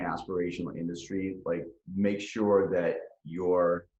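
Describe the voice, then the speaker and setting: Audible room echo surrounds a man with an American accent. His pitch is very deep and low, and he speaks fairly slowly. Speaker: cannabis company founder and CEO. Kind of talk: podcast interview. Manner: halting, many fillers and repetitions.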